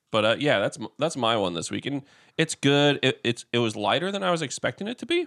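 A man's fairly high voice with vocal fry and very wide pitch swings, at a very fast pace, on a very clean recording with a silent background. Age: 30s. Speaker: podcast co-host. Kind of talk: casual chat. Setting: at a co-host's house.

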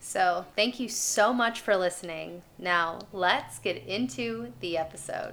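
Over music in the background, a woman with a medium pitch talks at a very slow pace with lively intonation. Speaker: podcast host. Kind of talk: solo podcast monologue. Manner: casual, conversational.

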